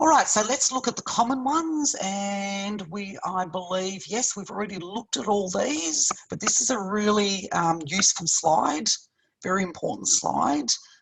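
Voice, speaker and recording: A woman with a medium-pitched, somewhat breathy voice talks at a moderate pace, her pitch swinging very widely. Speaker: university lecturer. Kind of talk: online lecture. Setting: video call.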